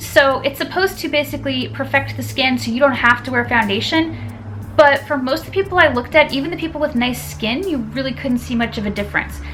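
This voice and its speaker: Noticeable background noise runs through the clip. Over it, a woman talks at a very fast pace. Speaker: beauty YouTuber. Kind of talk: casual talk to camera. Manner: stuttering.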